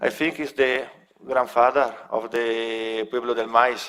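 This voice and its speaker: A man speaks very slowly at a medium pitch, with an Italian accent. His intonation is monotone and flat. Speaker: local project representative. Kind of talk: presentation. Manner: halting.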